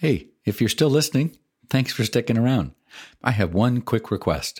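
A man with vocal fry and a medium pitch talks at a fairly quick pace on a very clean recording with a silent background. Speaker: podcast host. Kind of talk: interview.

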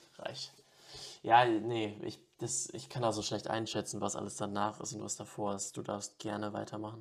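Vocal fry at a moderate pace, with ordinary pitch variation. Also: man, fairly low pitch for a man. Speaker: film podcast host. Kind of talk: casual chat.

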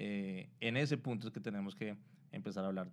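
A man's fairly low voice at a moderate pace. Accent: Colombian. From Colombia. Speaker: digital marketing specialist. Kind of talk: interview, explaining. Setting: live stream on Instagram.

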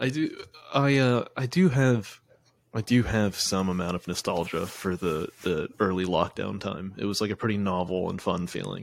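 At a moderate pace, a man with an ordinary speaking voice and fairly low pitch shows ordinary pitch variation on a very clean recording with a silent background. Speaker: podcast host. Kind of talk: casual chat. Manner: laughs often, joking.

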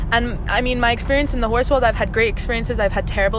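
A woman talks at a very fast pace in a fairly high pitch. Audible room echo and noticeable background noise fill the recording. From Greece. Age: young. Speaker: show jumper. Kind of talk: casual interview. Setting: in a car. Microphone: too far from the mic.

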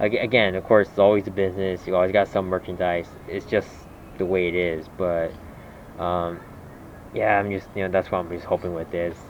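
A man with a very deep, low pitch speaks in a monotone, flat intonation at a fairly quick pace, with long, frequent pauses. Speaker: podcast host. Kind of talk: casual chat.

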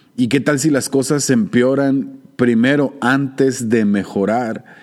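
A man's medium-pitched voice at a fairly slow pace, with ordinary pitch variation. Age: 40s. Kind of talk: solo theological reflection podcast. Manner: hesitant with fillers and repetitions.

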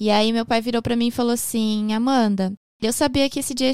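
A woman with a plain, everyday voice speaks at a moderate pace, her fairly high pitch showing ordinary pitch variation, in a dry, close sound with no echo. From Japan, raised by a Brazilian family from Porto Alegre. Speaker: makeup artist and podcaster. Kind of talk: casual interview chat.

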